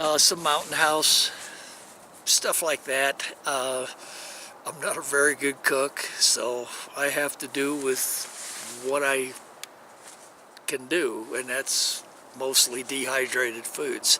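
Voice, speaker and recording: A man's fairly high voice at a very slow pace, monotone and flat, with long, frequent pauses and noticeable background noise. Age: 60s. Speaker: hiking vlogger. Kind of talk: casual vlog monologue. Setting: outdoors in a canyon.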